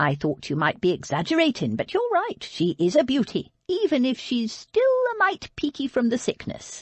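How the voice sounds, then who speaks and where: A female-sounding put-on character voice speaks with a high pitch. The pace is moderate. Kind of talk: Regency romance audiobook. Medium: read story. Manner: blunt, teasing, commanding.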